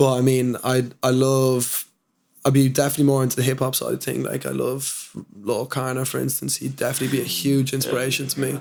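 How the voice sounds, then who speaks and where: Here a man talks in a Dublin accent at a fairly quick pace. His intonation is monotone and flat. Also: medium pitch for a man. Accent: Dublin Irish. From Dublin, Ireland. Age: young. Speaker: hip-hop artist. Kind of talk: interview answer. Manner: casual.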